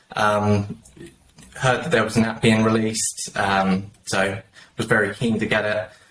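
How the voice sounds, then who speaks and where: A man's medium-pitched voice at a fairly slow pace. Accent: British. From southern England, just south of London. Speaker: mobile game player, guest panelist. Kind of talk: casual panel chat.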